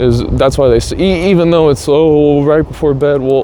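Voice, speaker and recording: Through noticeable background noise, a man speaks at a moderate pace with ordinary pitch variation. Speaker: vlogger. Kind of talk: casual monologue. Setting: outdoors on a scooter.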